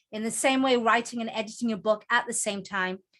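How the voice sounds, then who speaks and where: Very fast and fairly high-pitched, a woman talks in a Geordie accent with a bright, sharp tone and fairly even intonation. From northern England, Newcastle (Geordie). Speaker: author and book coach. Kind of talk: presentation to online group.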